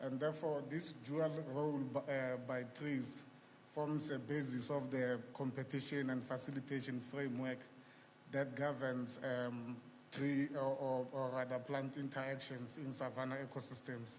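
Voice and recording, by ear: A man talks at a moderate pace with a medium pitch and a slightly mellow tone. His pitch moves little, and room echo is audible.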